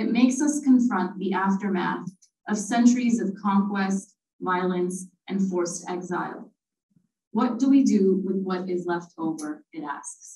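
The voice is somewhat breathy and moves at a moderate pace, with audible room echo around it. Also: woman. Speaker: literature lecturer and panelist; literature lecturer, panelist. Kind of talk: prepared academic commentary. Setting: live event with audience. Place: classroom. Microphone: podium.

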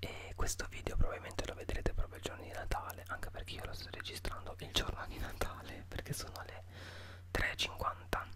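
Loud background noise surrounds a soft-spoken man talking at a fairly quick pace. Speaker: youtuber. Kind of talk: casual vlog chat. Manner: soft close-mic ASMR murmur. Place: home room. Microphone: studio mic.

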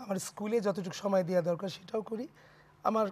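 This is a man speaking. His pitch is high. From Bangladesh. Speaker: dancer and choreographer; talk show guest. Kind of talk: casual chat. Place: studio. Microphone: lapel.

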